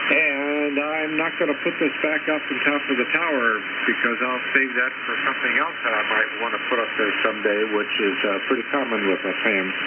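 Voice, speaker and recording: A man's medium-pitched voice at a moderate pace, with ordinary pitch variation, hardly any pauses, noticeable background noise and audible room echo. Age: 70s. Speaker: ham radio operator. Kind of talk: casual chat. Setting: ham radio transmission. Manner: halting, repeats words.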